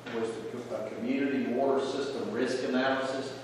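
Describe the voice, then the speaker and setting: Strong room echo and light background noise at a moderate pace. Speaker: county commissioner. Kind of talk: public meeting discussion. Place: hall. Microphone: camera far.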